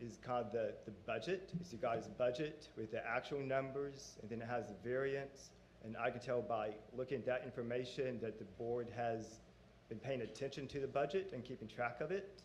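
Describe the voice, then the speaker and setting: A man talks at a moderate pace and a medium pitch. Noticeable background noise is present. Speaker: auditor presenting financial audit. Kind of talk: formal presentation to board. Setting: public board meeting.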